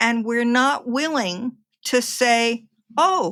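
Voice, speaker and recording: A woman's raised, projected voice, bright and sharp in tone, with an American accent, on a very clean recording with a silent background. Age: 70s. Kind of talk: interview.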